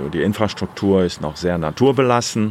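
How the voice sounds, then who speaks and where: Against noticeable background noise, a man speaks with a very deep, low pitch and ordinary pitch variation. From Germany. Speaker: guesthouse owner and motorcycle rental operator. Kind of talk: interview.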